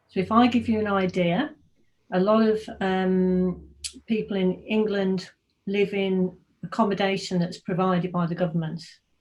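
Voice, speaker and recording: A woman with an English accent speaks at a moderate pace. Her medium-pitched voice is somewhat breathy with fairly even intonation. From English Midlands, Birmingham. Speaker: technology consultant. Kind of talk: casual talk to students over a call. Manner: hesitant, many fillers.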